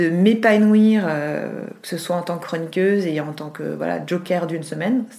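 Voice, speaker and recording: A woman speaks at a fairly slow pace with ordinary pitch variation, and audible room echo surrounds her voice. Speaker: TV journalist and presenter. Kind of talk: casual interview.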